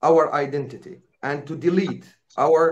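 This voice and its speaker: Audible room echo surrounds speech delivered at a very slow pace. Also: man. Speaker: conference speaker, activist. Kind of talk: conference speech. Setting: conference. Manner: halting, with fillers.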